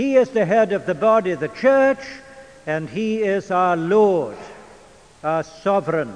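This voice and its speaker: Speaking at a fairly slow pace with long, frequent pauses, a man with a high pitch uses lively intonation over noticeable background noise. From England. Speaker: preacher and Bible teacher. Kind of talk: lecture. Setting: church. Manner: formal.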